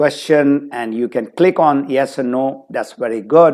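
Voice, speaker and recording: A man's voice sits somewhat high in pitch. It has a dark, mellow tone. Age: 60s. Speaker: motivational speaker and business trainer. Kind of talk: webinar talk. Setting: online webinar.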